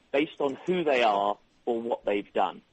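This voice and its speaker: A man is speaking. He has an English accent. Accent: English accent, retained. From England (London). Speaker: software company executive. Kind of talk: radio interview. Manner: hesitant, many fillers.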